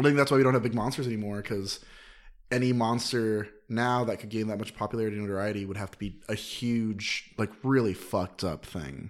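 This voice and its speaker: A man with a fairly low pitch and an unremarkable speaking voice talks at a fairly quick pace, with ordinary pitch variation and big swings in loudness. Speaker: podcast guest. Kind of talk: casual chat. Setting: studio.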